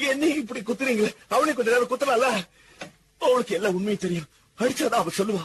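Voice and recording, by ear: A man puts on a character voice at an extremely high pitch, with a husky, rough edge. He talks at a fast pace with ordinary pitch variation.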